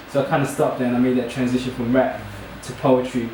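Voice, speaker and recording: Over noticeable background noise and audible room echo, a man with a medium pitch and an American accent speaks at a very fast pace. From New York, US. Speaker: spoken word poet. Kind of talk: casual introduction and spoken word performance. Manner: hesitant, lots of fillers.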